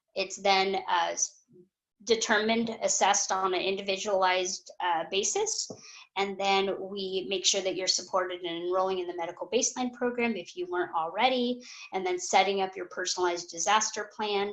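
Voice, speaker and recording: Fairly even intonation, a moderate pace and medium pitch from a woman with an unremarkable speaking voice. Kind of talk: webinar presentation.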